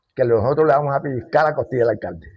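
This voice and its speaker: A somewhat breathy, medium-pitched male voice at a fairly quick pace, with ordinary pitch variation. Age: 80s+. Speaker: elderly local resident and composer. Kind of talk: oral history interview.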